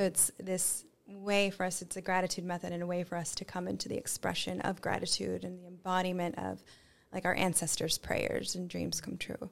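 Over a silent background in a very clean recording, a woman speaks fairly quickly at medium pitch, with monotone, flat intonation and vocal fry. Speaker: cacao ceremony guide and yoga teacher. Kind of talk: casual podcast interview.

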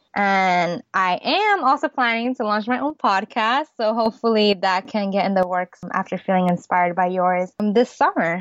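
A woman with an American accent and a medium pitch speaks with ordinary pitch variation and hardly any pauses. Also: moderate pace. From New York City. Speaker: lifestyle blogger. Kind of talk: interview.

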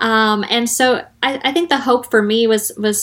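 Speaking at a moderate pace, a woman with a normal speaking voice keeps a fairly even intonation at a fairly high pitch. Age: 30s. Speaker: former adult film performer. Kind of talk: interview.

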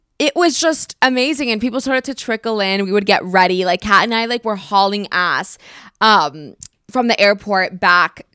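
A woman with a medium-pitched, bright, sharp voice talks in an animated tone at a moderate pace, with ordinary pitch variation. The recording is very clean and dry, close-miked with no echo and a silent background. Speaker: podcast host. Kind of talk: casual chat.

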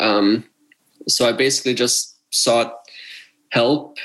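A man with an American accent speaks at medium pitch with fairly even intonation, in a plain, everyday voice. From Pennsylvania, Philadelphia suburbs. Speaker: professional squash player. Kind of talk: interview.

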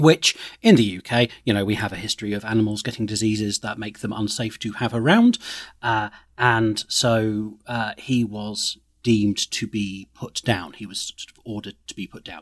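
A fairly low-pitched man with an English accent at a moderate pace, dry and close with no echo. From England. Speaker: comedy producer. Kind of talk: casual chat. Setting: remote call.

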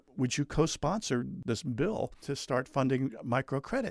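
A fairly high-pitched man with an American accent at a moderate pace, on a very clean recording with a silent background and a dry, close sound with no echo. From New Jersey. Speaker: former journalist, activist and musician. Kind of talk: casual interview. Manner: halting, frequent repetitions.

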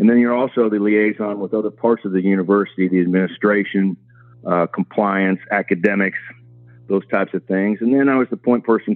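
With music in the background, the speaker talks at a moderate pace in a Midwestern American accent, the intonation monotone and flat. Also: man. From Kansas. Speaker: college football administrator. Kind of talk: interview.

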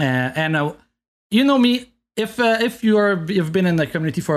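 Over a quiet background, a man in a Quebec accent speaks with very wide swings in pitch. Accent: Québécois French. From Quebec, Montreal. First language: French. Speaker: video game speedrunner. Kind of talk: casual chat. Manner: halting.

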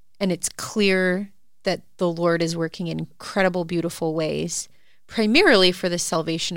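In a very clean recording with a silent background, a woman speaks in a normal speaking voice, fairly low in pitch, at a moderate pace. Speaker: podcast host. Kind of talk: casual chat.

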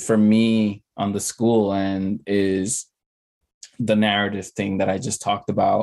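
In an American accent, a man speaks at a fairly slow pace with a fairly low pitch. His intonation is monotone and flat. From the Bronx, New York. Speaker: former school principal, nonprofit leader. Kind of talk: casual chat.

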